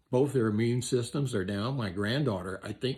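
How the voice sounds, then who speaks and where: Somewhat breathy, a man speaks at a medium pitch. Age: 70s. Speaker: electrician and vlogger. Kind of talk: opinion monologue. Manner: animated.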